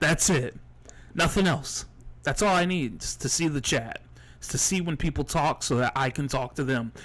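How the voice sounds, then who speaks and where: A man with a fairly high pitch and vocal fry talks at a moderate pace with ordinary pitch variation, in a very clean recording with a silent background. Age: 20s. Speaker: streamer. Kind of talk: casual live stream talk. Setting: live stream at home with laptop. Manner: halting, repetitive.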